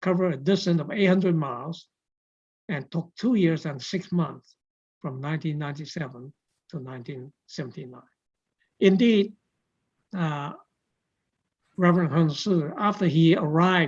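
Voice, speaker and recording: Somewhat breathy and at a moderate pace, the voice shows ordinary pitch variation and long, frequent pauses. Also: woman, fairly low pitch for a woman. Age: 80s+. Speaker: forum moderator. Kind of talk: event introduction. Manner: halting.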